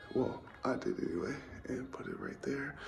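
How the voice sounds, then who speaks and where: Over music in the background, a man talks at a fairly quick pace with audible room echo. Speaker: travel vlogger. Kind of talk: casual vlog talk.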